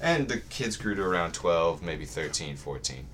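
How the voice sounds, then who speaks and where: Very deep and low, a man's voice carries vocal fry, with audible room echo around it. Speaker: college student. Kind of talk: casual chat.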